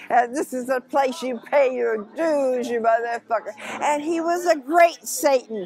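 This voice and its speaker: Noticeable background noise surrounds a woman's voice. She speaks at a fairly slow pace with lively intonation. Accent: American. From Oakland, California. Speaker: musician and performer. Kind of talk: interview answer. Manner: casual, brash.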